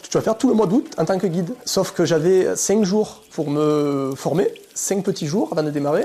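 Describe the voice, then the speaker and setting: The speaker talks at a fairly quick pace. Pitch varies in an ordinary way. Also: man. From southern France. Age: 30s. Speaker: cave tour guide. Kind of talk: interview answer. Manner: casual, hesitant.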